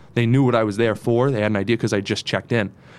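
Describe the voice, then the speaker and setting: The very clean recording, with a silent background, features a man with an American accent. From northeastern Pennsylvania, Dunmore/Scranton area. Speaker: TV news reporter. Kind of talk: casual interview chat.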